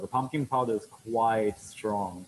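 A man's medium-pitched voice with light background noise. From Sri Lanka. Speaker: bartender and restaurant owner. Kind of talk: tutorial. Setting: video call. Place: bar.

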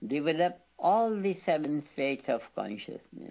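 Everything around the speaker is quiet. A man talks very slowly. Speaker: spiritual teacher. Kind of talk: lecture. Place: studio.

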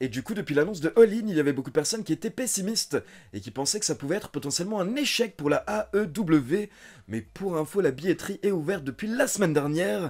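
A man's very fast speech with very wide pitch swings over a quiet background. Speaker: wrestling news youtuber. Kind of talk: news commentary. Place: home room.

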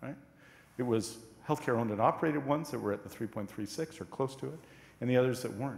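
A man talks at a very fast pace with ordinary pitch variation, broken by long, frequent pauses, and audible room echo surrounds his voice. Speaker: cabinet minister. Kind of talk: parliamentary debate speech. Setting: legislative chamber. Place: hall.

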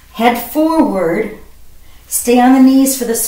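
Audible room echo follows a woman who speaks at a very slow pace. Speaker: fitness instructor. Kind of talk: workout instruction. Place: home room. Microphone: camera far.

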